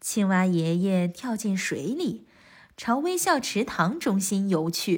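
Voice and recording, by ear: With lively intonation, this is someone reading aloud in a natural voice.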